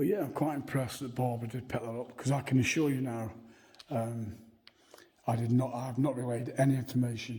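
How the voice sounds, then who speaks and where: With audible room echo, a man of medium pitch speaks at a fairly quick pace in a somewhat breathy, dark, mellow tone and fairly even intonation. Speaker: paranormal video presenter. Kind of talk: walking tour vlog to camera. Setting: church grounds. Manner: halting, with fillers.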